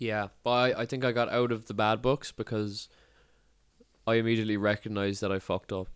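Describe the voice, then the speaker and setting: A man with a Cork accent talks at a fairly quick pace, his medium pitch held in monotone, flat intonation. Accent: Cork Irish. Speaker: podcast host. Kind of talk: casual chat.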